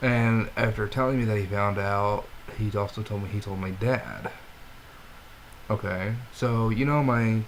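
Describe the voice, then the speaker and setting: A man speaks at a fairly low pitch. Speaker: vlogger. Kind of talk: personal video diary. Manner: halting, disjointed speech.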